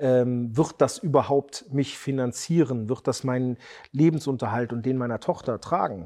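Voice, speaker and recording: A man speaks at a moderate pace in a medium pitch, with a dark, mellow tone, ordinary pitch variation and a quiet background. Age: 40s. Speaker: custom motorcycle builder, entrepreneur. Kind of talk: interview.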